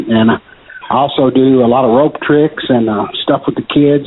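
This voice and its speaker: A man talks at a moderate pace with medium pitch and fairly even intonation. There is noticeable background noise. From Kentucky. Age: 60s. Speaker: magician. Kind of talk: casual interview. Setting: phone call.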